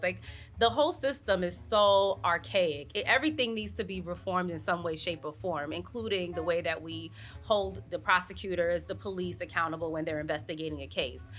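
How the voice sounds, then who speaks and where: A woman with a New York accent. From Brooklyn, New York. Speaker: news reporter. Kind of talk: interview answer.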